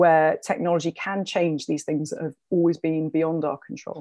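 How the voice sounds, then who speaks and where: A woman with a London accent and a fairly low voice at a moderate pace, on a very clean recording with a silent background and a dry, close sound with no echo. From London, England. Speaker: documentary filmmaker and journalist, author. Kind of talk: interview conversation.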